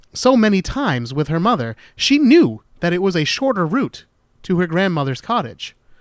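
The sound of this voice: This is read aloud in an unforced reading voice.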